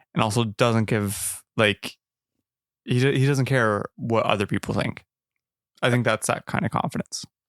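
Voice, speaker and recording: In a very clean, dry and close recording with no echo and a silent background, a man with an unremarkable speaking voice talks at a moderate pace and medium pitch, with ordinary pitch variation. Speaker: movie review podcast host. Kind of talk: casual chat.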